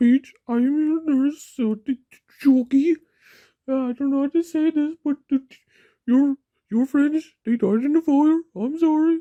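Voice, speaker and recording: A woman uses a put-on character voice at a high pitch with ordinary pitch variation. Her pauses are long and frequent, and the sound is dry and close with no echo. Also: moderate pace. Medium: audio drama. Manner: gentle, reassuring.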